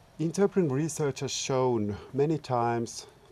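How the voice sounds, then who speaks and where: This man has a Finnish accent. He talks at a moderate pace with ordinary pitch variation. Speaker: researcher and public service interpreter. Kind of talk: short talk. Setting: seminar.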